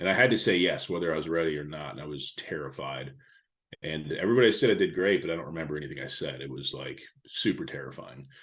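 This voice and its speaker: A man with a very deep, low voice and vocal fry talks very fast, his intonation lively and his loudness swinging a lot. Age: 40s. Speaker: digital marketing consultant and speaker. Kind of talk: podcast interview. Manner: casual with many fillers.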